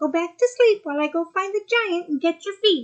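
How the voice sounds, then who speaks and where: Put-on character voice from a woman, squeaky and extremely high pitched, at a fairly quick pace. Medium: read story. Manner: soft, purring.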